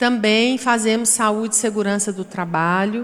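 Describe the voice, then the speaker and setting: Noticeable background noise sits behind a woman with a Goiás accent and a fairly high pitch. She speaks at a fairly slow pace with fairly even intonation. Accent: Goiás accent, often taken for Minas Gerais. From Goiás, Brazil. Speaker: panel moderator. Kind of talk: panel discussion.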